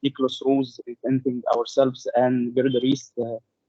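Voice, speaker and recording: A man with a non-native accent, at a fairly slow pace and in monotone, flat intonation. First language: not English. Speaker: audience member asking a question. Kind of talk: question in webinar Q&A. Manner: halting.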